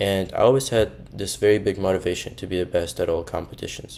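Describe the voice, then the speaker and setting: Over a very clean recording with a silent background, a man with a Russian accent speaks at a fairly quick pace in a very deep, low pitch. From Russia, Moscow. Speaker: university student. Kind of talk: personal storytelling monologue.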